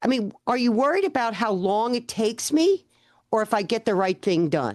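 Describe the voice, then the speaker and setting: Against a quiet background, a woman with an ordinary speaking voice talks at a moderate pace in a fairly high pitch, with lively intonation and very even loudness. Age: 60s. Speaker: accountant and business owner. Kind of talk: interview podcast.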